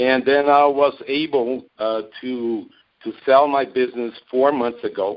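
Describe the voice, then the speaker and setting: Speaking with a Brazilian Portuguese accent, a man keeps his intonation fairly even. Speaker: network marketing distributor. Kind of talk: interview on a call. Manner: halting, many fillers.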